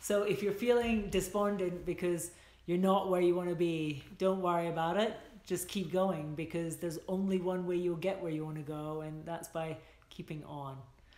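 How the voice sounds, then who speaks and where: A woman with a fairly low pitch speaks at a moderate pace with fairly even intonation. Audible room echo surrounds her voice. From Scotland. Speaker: filmmaker and screenwriter. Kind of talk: livestream advice talk to viewers. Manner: casual, chatty with many fillers. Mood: warm, encouraging. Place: home room. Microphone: phone near.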